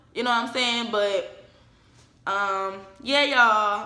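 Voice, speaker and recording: Animated female voice at a fairly slow pace, with audible room echo. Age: 20s. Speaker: YouTuber. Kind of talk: storytime vlog. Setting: living room at home.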